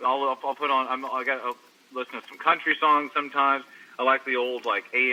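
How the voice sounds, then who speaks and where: A man speaks with a Texan accent. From Texas, Longview. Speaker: rock guitarist. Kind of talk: interview. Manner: halting, many repeated words.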